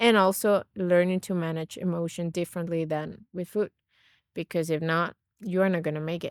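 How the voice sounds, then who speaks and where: In a Venezuelan accent, a woman speaks at a moderate pace with a fairly low pitch and monotone, flat intonation, on a very clean recording with a silent background and a dry, close sound with no echo. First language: Spanish. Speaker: naturopath and nutrition coach. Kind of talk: podcast interview.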